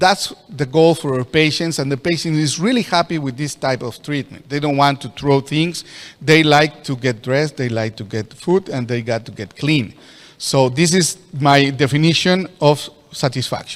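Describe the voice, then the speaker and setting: Speaking with a Spanish accent, a man uses a fairly high pitch, ordinary pitch variation and a moderate pace. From Mexico. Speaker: orthopedic surgeon. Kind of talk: lecture. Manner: halting.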